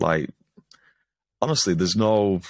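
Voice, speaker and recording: The sound is dry, with no echo. A man speaks in a fairly low voice with a Lancashire accent. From Preston, Lancashire, northern England; northern England. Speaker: stand-up comedian and comedy show organiser; stand-up comedian. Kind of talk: casual interview chat. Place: home room.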